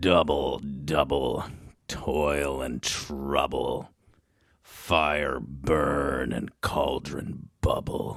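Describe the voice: A man puts on a character voice with an extremely low pitch, vocal fry and a fairly bright tone. He speaks at a very slow pace with little pitch movement.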